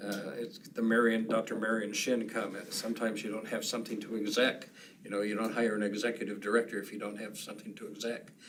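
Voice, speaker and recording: A man talks very fast at medium pitch in a monotone, flat delivery. Noticeable background noise and room echo are audible. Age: 70s. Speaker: business improvement district board member. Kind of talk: public meeting discussion. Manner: halting.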